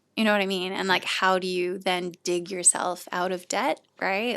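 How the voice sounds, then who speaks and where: On a very clean recording with a silent background, a woman with a Canadian accent speaks at a moderate pace in a plain, everyday voice of medium pitch. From Canada. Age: 30s. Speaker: charity shop founder. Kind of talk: podcast interview.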